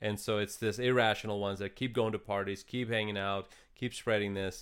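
A man's fairly low voice with a slight Russian accent, monotone, flat intonation and a fairly quick pace. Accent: light Russian-accented English. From eastern Ukraine. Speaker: podcast co-host. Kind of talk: casual chat.

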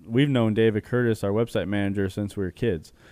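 An unremarkable speaking voice, with an American accent and ordinary pitch variation. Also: man. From Arizona, Chandler. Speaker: clothing brand co-owner. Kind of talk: interview.

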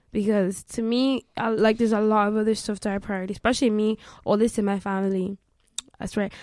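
With a Limerick accent, a woman speaks very fast in a fairly high pitch and a monotone, flat intonation. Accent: Irish (Limerick). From Ireland, Limerick. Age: 20s. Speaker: law student and trader. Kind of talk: casual chat.

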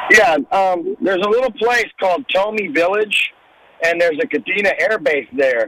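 Noticeable background noise runs under a man's raised, projected voice, high in pitch with lively intonation. His pace is moderate and his loudness very even. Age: 60s. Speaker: caller. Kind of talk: call-in conversation.

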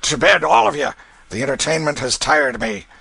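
This is a put-on character voice, hoarse and bellowing. It moves at a fairly quick pace. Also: man, fairly high pitch for a man. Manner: roaring, bullying, coarse.

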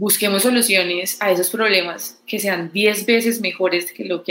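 A woman speaks at a fairly slow pace in a normal speaking voice, medium in pitch with fairly even intonation. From Colombia, Pereira. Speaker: tech startup co-founder. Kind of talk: interview.

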